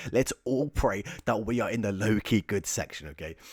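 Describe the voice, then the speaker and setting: This man has an English accent and a fairly low pitch with ordinary variation. He talks at a fairly quick pace on a very clean recording with a silent background. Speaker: YouTuber ranking topics in tier lists. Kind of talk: casual video commentary. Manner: casual, chatty with filler words.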